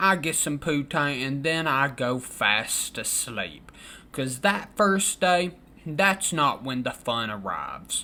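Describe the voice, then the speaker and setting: A very slow pace in a Southern US accent, on a very clean recording against a silent background. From Kentucky. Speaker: storytelling vlogger. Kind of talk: casual storytelling. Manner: animated.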